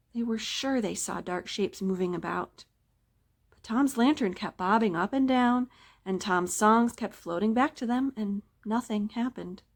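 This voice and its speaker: A woman's fairly high-pitched, unremarkable speaking voice at a moderate pace, with ordinary pitch variation, big swings in loudness, and a very clean recording over a silent background. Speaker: library staff member reading a story. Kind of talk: scary story reading.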